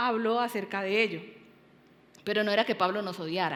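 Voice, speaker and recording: Audible room echo surrounds a woman talking in a fairly high pitch. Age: 60s. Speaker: pastor. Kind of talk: sermon. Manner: halting, many fillers.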